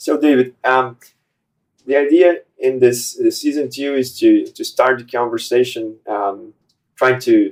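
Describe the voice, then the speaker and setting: Speaking in a Portuguese accent, a man takes a fairly slow pace. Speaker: podcast host. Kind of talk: interview. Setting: studio. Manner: halting.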